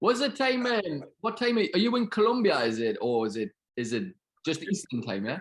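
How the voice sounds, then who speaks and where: With a northern English accent, a man speaks at a high pitch and a fairly quick pace. His pitch swings very widely. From northern England. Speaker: podcast co-host. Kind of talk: podcast intro and interview.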